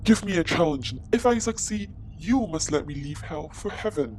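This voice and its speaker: A man puts on a character voice at a fairly high pitch, with big swings in loudness. He keeps a moderate pace over clear background noise. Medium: audio drama.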